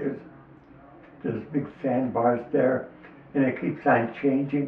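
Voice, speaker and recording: A man with an American accent talks at a moderate pace in a medium pitch. His intonation is fairly even, and there is noticeable background noise. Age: 80s+. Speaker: lifelong local fisherman. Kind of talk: interview answer, reminiscing.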